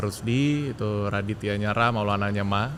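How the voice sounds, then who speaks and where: A man at a moderate pace with ordinary pitch variation, amid audible room echo and noticeable background noise. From Jakarta, Indonesia. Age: 40s. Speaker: transport company technology director. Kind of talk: interview.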